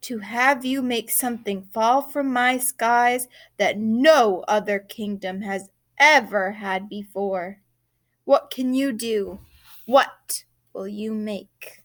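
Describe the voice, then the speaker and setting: On a very clean recording with a silent background, a woman growls in a put-on character voice, fairly high in pitch, very slow, with big swings in loudness. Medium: read story. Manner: growling, imperious.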